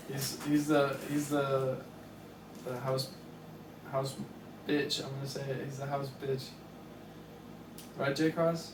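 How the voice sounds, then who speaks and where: A man speaks very slowly with long, frequent pauses, his fairly high voice flat and monotone. Audible room echo and noticeable background noise fill the recording. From Tennessee, near Nashville. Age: 20s. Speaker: podcast co-host. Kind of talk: casual chat.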